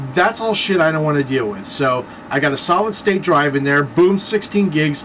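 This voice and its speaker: Over noticeable background noise, a man with a fairly high pitch talks in an animated tone with lively intonation. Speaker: vlogger. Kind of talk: casual vlog monologue. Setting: at home, late at night. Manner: fast.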